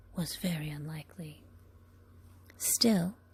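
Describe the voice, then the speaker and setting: A woman speaks at a moderate pace in a dark, mellow tone with vocal fry. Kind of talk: ASMR book reading. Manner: whispered, soft-spoken.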